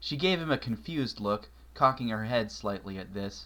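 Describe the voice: Lively intonation over plain reading aloud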